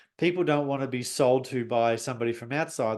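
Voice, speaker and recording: Speaking at a fairly quick pace, the man moves right along. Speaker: business coach and webinar host. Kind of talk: webinar presentation. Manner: fast; animated.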